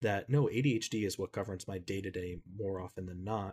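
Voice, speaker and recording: Intonation stays fairly even as a man talks. His pace is moderate. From US Northeast (Connecticut). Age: 30s. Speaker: social media creator. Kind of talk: casual chat.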